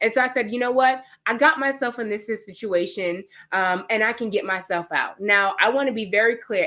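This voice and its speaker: A woman with a New York accent, animated and bright, sharp in tone, at a fairly quick pace with ordinary pitch variation. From New York (Queens). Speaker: fitness trainer. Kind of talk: webinar presentation. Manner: fast.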